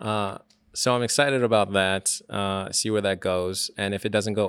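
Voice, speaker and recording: In a very clean recording with a silent background, a man with a plain, everyday voice speaks at a moderate pace in a fairly low pitch. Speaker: podcast host. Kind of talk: casual chat. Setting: bar lounge.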